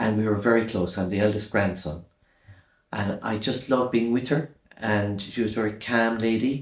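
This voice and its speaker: Moderate pace and fairly even intonation in a strong Irish accent. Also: man, fairly low pitch for a man. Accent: Irish, kept strong despite years in London. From Ireland, rural midlands and west. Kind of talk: interview, life story.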